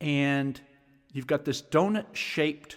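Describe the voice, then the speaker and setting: A man with a plain, everyday voice speaks at a fairly high pitch and a fairly slow pace, with ordinary pitch variation, in a very clean recording with a silent background. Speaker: sound healing teacher. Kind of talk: guided instruction, meditation-style grounding exercise. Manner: calm, slow, instructional.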